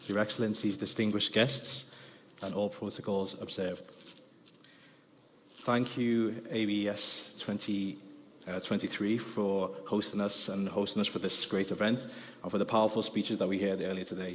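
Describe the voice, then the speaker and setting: In a Liverpool accent, a man talks at a fairly quick pace with long, frequent pauses, a fairly low pitch and fairly even intonation, with audible room echo around him. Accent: Liverpool (Scouse). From Liverpool, England. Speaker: business development director. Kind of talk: conference presentation. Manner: fast.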